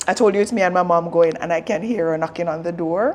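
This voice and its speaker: With a Jamaican accent, a woman of fairly low pitch talks at a fairly quick pace with ordinary pitch variation over noticeable background noise. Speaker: vlogger. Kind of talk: casual vlog talk to camera. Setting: in a car en route to concert.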